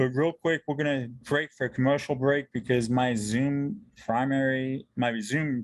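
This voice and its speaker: In a normal speaking voice, a man talks at a fairly slow pace and medium pitch with fairly even intonation. His loudness stays very even, and the sound is dry and close with no echo. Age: 40s. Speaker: podcast host. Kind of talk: interview. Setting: video call.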